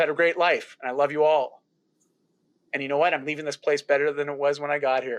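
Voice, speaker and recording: A man with a Canadian accent speaks at a very fast pace in a fairly high pitch and an animated tone, over a quiet background. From rural Ontario, Canada. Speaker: health and lifestyle coach. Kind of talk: interview.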